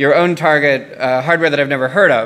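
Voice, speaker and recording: A man with an American accent at a fairly quick pace and with ordinary pitch variation. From US South, Tennessee. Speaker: security researcher; conference speaker. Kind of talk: conference talk. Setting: stage with audience. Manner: frequent fillers (um, uh). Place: hall. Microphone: podium.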